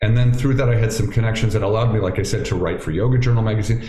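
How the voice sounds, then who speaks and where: A man speaks with an American accent. Noticeable background noise and audible room echo come through. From Ohio, US Midwest. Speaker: yoga teacher and former family doctor. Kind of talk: interview conversation. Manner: halting, many repeated words.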